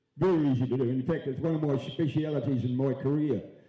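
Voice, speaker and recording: In a room with audible echo, a man with a New Zealand accent speaks at a moderate pace in a fairly high voice. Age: 70s. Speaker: mayoral candidate. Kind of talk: candidate answer at public forum. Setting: auditorium with live audience.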